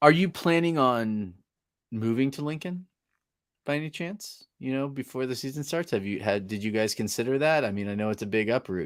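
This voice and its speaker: A man with an ordinary speaking voice and medium pitch talks at a fairly quick pace with lively intonation. The recording is very clean, with a silent background. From northern California. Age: 40s. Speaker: podcast host. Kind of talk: casual chat.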